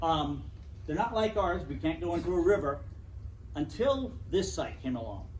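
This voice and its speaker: With long, frequent pauses, a man talks at a moderate pace amid audible room echo. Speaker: natural history educator. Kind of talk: club talk. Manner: loud.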